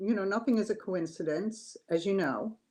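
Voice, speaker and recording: A woman's normal speaking voice, medium in pitch, with ordinary pitch variation and a quiet background. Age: 60s. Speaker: cancer survivor. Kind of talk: interview testimony.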